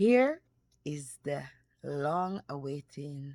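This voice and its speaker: A woman's very deep, low voice with a dark, mellow tone and a Jamaican accent, very slow, on a very clean recording with a silent background. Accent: Jamaican English with patois. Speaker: cooking YouTuber. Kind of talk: cooking tutorial. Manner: casual, chatty.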